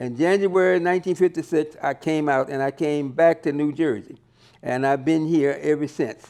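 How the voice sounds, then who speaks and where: Against a quiet background, a man with a fairly high, dark, mellow voice speaks at a moderate pace with ordinary pitch variation. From US South, Georgia. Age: 80s+. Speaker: retired entrepreneur, auto body worker. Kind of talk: interview. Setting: on camera interview. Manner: halting.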